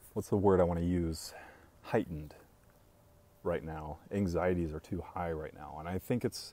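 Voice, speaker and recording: The tone is dark, mellow and calm, with big swings in loudness. Delivery runs at a moderate pace, broken by long, frequent pauses. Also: man, very deep, low pitch for a man, fairly even intonation. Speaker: coffee business owner and live streamer. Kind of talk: casual live-stream chat reading viewer comments. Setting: live video stream.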